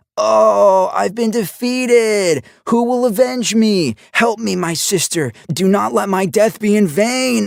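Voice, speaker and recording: Using a put-on character voice, a man talks fairly slowly at a high pitch with lively intonation. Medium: read story. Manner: theatrical, exaggerated.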